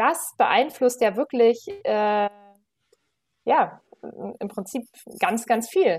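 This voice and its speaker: Very slow and broken by long, frequent pauses, a woman's high-pitched voice moves in very wide pitch swings. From Berlin, Germany. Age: 30s. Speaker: management consultant and yoga teacher. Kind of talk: casual interview. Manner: hesitant, many fillers.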